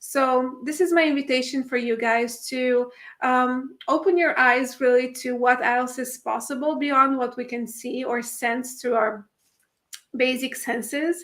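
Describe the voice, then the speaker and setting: A high-pitched woman's voice with a non-native accent, a fairly slow pace and fairly even intonation. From Italy. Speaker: spiritual workshop facilitator. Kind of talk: livestream talk. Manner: halting, many fillers.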